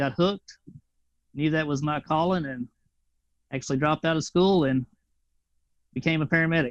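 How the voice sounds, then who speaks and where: With a Tennessee accent, a man talks at a fairly quick pace in a fairly high voice, his intonation fairly even, his long, frequent pauses captured in a dry, close sound with no echo. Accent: Tennessee twang. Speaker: flight paramedic, veteran. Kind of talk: casual interview.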